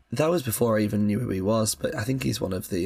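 Talking at a very fast pace, a man with a fairly low pitch uses lively intonation and vocal fry. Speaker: film podcast co-host. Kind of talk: casual chat.

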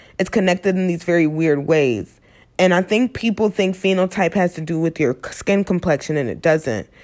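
A woman speaks at a moderate pace in a plain, everyday voice. Her pitch is medium, with ordinary pitch variation. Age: 20s. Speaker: podcast host. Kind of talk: solo monologue podcast. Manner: casual, filler-heavy.

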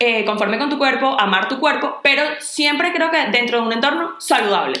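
A woman with a high pitch and a Venezuelan accent speaks amid noticeable background noise and audible room echo. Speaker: podcast co-host. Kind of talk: casual chat.

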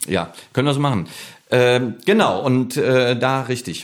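A man is speaking, with noticeable background noise behind him. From Ruhr area, Germany (Bochum). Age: 50s. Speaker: comedian and flamenco guitarist. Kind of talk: casual interview chat.

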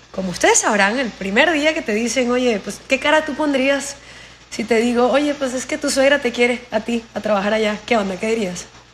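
A woman speaks at a moderate pace in a high pitch with ordinary pitch variation, over noticeable background noise. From Venezuela, Anzoátegui (Anaco). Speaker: coach and consultant. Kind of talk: casual interview. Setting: call.

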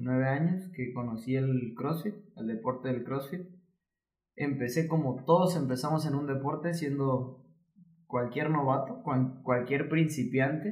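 A man's medium-pitched, somewhat breathy voice with ordinary pitch variation and audible room echo. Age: 20s. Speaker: fitness coach and physiotherapist. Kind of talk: casual interview chat.

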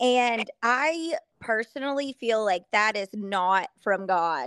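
A woman with a Southern US accent speaks at a fairly high pitch with lively intonation. The very clean recording has a silent background and a dry, close sound with no echo. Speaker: country singer-songwriter. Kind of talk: casual chat.

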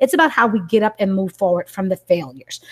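A woman with a plain, everyday voice and medium pitch speaks at a fairly quick pace in a dry, close sound with no echo. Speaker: educator and parent. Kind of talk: video-call book study discussion.

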